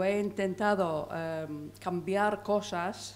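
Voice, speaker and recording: This woman has a medium pitch and fairly even intonation. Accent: non-native. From England. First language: English (speaking Spanish). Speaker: audience member. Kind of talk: audience question.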